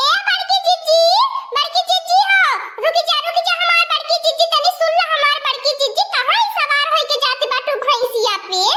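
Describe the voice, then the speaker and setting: Against noticeable background noise, a woman does a cartoonish character voice at an extremely high pitch, with very even loudness and a moderate pace. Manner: dramatic and pleading, constant lamenting exclamations.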